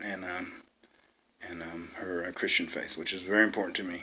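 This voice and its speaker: With an American accent, a man talks at a fairly quick pace in fairly even intonation. Room echo is audible. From West Virginia, small rural town. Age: 60s. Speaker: dating-site profile video maker, veteran. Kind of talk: casual personal self-introduction. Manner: halting, many fillers.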